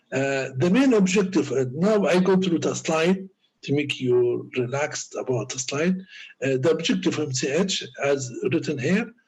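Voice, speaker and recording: Speaking with an Arabic accent, this voice moves at a moderate pace with ordinary pitch variation. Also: man. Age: 60s. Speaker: doctor and lecturer. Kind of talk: lecture. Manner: halting.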